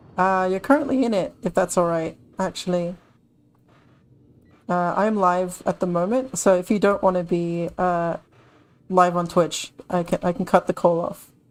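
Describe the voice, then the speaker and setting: A woman with a British accent at a medium pitch, ordinary pitch variation and moderate pace, with long, frequent pauses, in a very clean recording with a silent background. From Britain. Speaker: gaming streamer. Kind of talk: live gameplay stream commentary. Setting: live stream with in-game voice chat.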